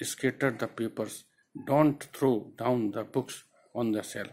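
The pace is very slow. The speaker is a man. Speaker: teacher. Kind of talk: lecture explaining a poem. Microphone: phone near.

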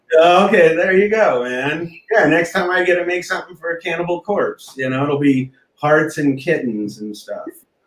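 Speaking with hardly any pauses, a man with an American accent uses a high pitch for a man, with audible room echo in the recording. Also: ordinary pitch variation, moderate pace. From rural Kansas. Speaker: mural artist and musician; guest. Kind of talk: casual chat. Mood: relaxed, laughing. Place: home room. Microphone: video call.

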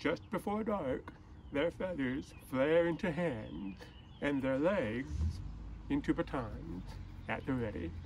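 A man speaks at a very slow pace with very wide pitch swings and vocal fry. Long, frequent pauses break up his speech over light background noise. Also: fairly high pitch for a man. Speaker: poet. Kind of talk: poem reading. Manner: measured, unhurried, lyrical delivery with image-by-image pacing. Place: street. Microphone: phone near.

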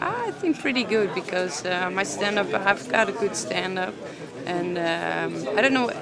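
A woman speaks with a Dutch accent. Noticeable background noise is present. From Netherlands. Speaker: fighter. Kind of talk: post-fight interview. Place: hall.

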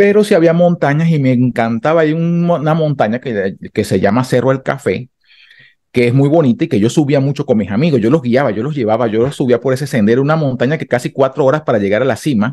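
Over a quiet background, a man with a dark, mellow tone and medium pitch talks at a very fast pace with lively intonation. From Venezuela, Carabobo (Valencia area); Carabobo, Venezuela. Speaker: street mime and immigrant; interview guest. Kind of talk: interview testimony. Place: home room. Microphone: studio mic.

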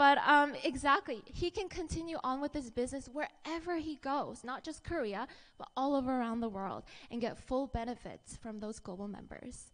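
A woman with a high pitch and an upbeat, enthusiastic tone talks at a moderate pace, her intonation lively and her loudness swinging widely. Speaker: network marketing presenter. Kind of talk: pitchman presentation. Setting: stage with audience. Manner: upbeat, enthusiastic, engaging the audience with questions. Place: hall. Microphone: handheld.

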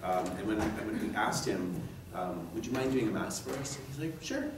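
A man speaks with long, frequent pauses and very wide pitch swings. Audible room echo and noticeable background noise fill the recording. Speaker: event organizer introducing the speaker. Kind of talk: speech introduction. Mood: warm, grateful. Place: meeting room. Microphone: podium.

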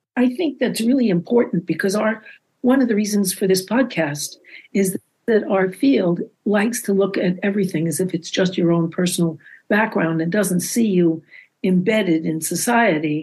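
A woman's medium-pitched, somewhat breathy voice at a moderate pace, with very even loudness and ordinary pitch variation. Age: old. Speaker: psychotherapist, podcast host. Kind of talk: casual chat.

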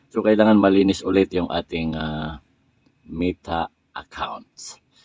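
This man has a very deep, low pitch. He talks at a fairly slow pace. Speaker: vlogger / content creator. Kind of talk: casual tutorial vlog. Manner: halting, frequent fillers.

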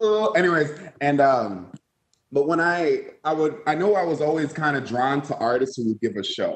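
Audible room echo surrounds a man as he speaks. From Minnesota, US. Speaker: singer; guest. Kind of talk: interview. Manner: animated. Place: home room. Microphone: earbuds.

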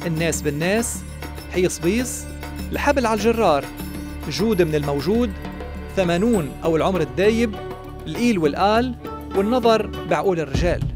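Someone speaks at a fairly slow pace with a Lebanese accent while music plays in the background. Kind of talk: documentary biography narration.

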